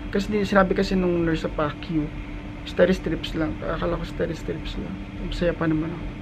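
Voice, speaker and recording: Noticeable background noise sits behind a man's high-pitched voice. He talks at a fairly quick pace with monotone, flat intonation. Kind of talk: casual vlog chat. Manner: weak, tired voice after neck surgery. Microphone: phone near.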